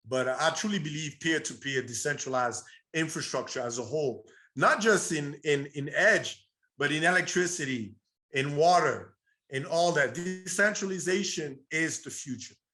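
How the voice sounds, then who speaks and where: Over music in the background, a man talks with ordinary pitch variation. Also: fairly high pitch for a man, moderate pace. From Burundi, East Africa. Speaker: entrepreneur. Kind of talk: interview.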